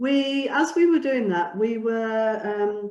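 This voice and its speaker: A woman speaks in a Mancunian accent. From northern England, near Oldham. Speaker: charity co-founder, seminar speaker. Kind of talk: presentation with slides. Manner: hesitant, many fillers.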